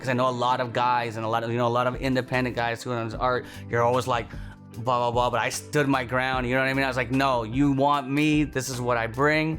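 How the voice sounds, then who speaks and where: A man's medium-pitched, monotone, flat delivery at a very fast pace with hardly any pauses, music playing behind him. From Toronto, Canada. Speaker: stand-up comedian. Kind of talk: documentary interview answer.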